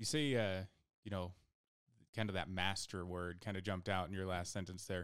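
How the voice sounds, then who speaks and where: A man with an American accent and a very deep, low pitch, fairly even intonation and a fairly quick pace, on a very clean recording with a silent background. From rural southern Idaho. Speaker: podcast host and paramedic. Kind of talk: casual chat.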